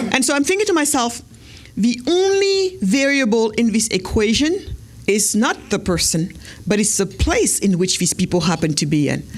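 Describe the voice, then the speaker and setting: A woman speaks in a fairly high, somewhat breathy voice. Her tone is animated, with very wide pitch swings. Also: very even loudness. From Senegal. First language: not English (Wolof/French). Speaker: entrepreneur and speaker. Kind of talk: keynote speech. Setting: stage with audience at gala. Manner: fast.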